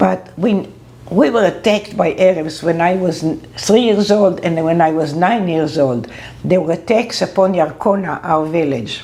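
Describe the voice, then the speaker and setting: With noticeable background noise behind her, a woman talks at a moderate pace. Her pitch variation is ordinary. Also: fairly low pitch for a woman. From Israel, Ra'anana. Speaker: interviewee. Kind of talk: interview testimony.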